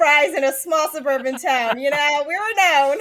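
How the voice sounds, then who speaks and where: Noticeable background noise is present. A woman talks over it at a moderate pace. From California, Morgan Hill. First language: Mandarin. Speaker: health and life coach. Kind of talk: podcast interview.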